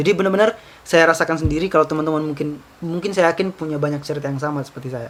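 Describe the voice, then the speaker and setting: Over noticeable background noise, a man talks at a very fast pace. His voice is fairly high and his intonation fairly even. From Southeast Sulawesi (Baubau, Buton). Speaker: university student leader. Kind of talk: casual interview chat. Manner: casual, hesitant with fillers.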